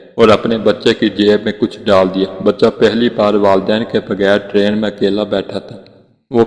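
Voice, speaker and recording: Noticeable background noise sits behind a man's voice. He speaks in a fairly low pitch with monotone, flat intonation. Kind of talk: emotional Islamic story narration.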